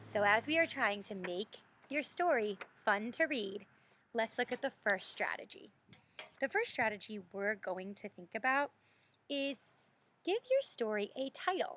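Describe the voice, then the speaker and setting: A woman with a fairly high voice speaks with lively intonation and long, frequent pauses. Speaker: elementary school teacher. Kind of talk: online lesson for young children. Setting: outdoors. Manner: loud; animated.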